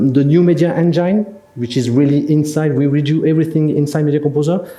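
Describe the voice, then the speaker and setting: With a French accent, a man speaks at a fairly quick pace in a fairly high pitch, and audible room echo surrounds his voice. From France. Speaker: software solutions specialist. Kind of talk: product presentation. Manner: halting, many fillers.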